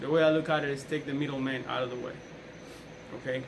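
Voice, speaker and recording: A man with a Colombian accent talks at a fairly high pitch with fairly even intonation, amid audible room echo and noticeable background noise. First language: Spanish. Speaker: police officer giving a class speech. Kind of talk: persuasive speech.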